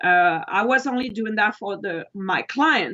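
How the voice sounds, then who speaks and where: A woman's fairly high voice with a non-native accent and ordinary pitch variation. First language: not English. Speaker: wedding photographer. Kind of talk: interview.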